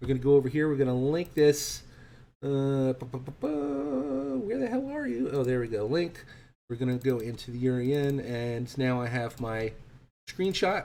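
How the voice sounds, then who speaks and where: A dark, mellow tone with ordinary pitch variation. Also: man, medium pitch for a man. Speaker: trading instructor. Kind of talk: online trading class. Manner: fast; animated.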